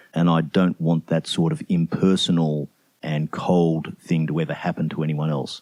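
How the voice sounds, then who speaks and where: Speaking with an Australian accent, a man uses a very deep, low pitch. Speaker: CEO and leadership mentor. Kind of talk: interview answer.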